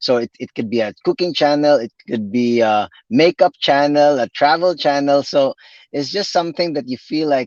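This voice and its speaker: In a Visayan Filipino accent, a man talks at a moderate pace and medium pitch with ordinary pitch variation, the sound dry and close with no echo. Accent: Filipino (Cebuano) English. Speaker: physical therapist and YouTube creator. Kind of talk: live interview. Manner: halting, many repetitions.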